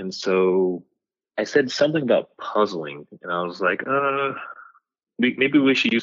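A man speaks in an ordinary speaking voice, his intonation lively and his pace moderate. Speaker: podcaster. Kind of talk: casual chat.

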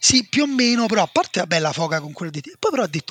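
Raised and projected, a man's bright, sharp voice moves at a very fast pace with lively intonation, in a dry, close sound with no echo. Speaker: football podcast co-host. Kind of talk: casual chat.

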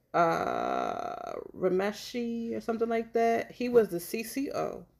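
A woman is speaking. Her intonation is lively. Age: 30s. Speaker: true crime podcast co-host. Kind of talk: casual chat.

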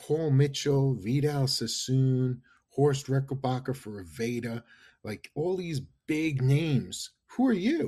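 Speaking very slowly with a New York accent, a man has a medium pitch and ordinary pitch variation. His voice is somewhat breathy, with a dark, mellow tone. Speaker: marketing consultant. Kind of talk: interview. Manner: animated.

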